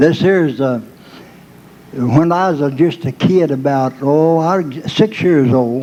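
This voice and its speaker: Over noticeable background noise and audible room echo, a man with a Southern US accent talks at a fairly slow pace, his fairly high pitch showing ordinary variation. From Arkansas. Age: 80s+. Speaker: country music performer. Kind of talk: stage banter and joke telling.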